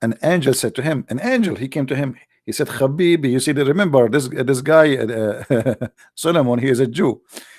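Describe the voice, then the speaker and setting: In an Arabic accent, a man with medium pitch and ordinary pitch variation speaks at a moderate pace. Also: very clean recording, silent background. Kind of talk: polemical livestream commentary. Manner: animated, sarcastic.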